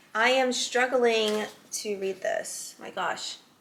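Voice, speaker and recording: A woman's voice with ordinary pitch variation against noticeable background noise. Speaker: whiskey reviewer. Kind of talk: reading aloud; casual product review. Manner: casual, hesitant with fillers.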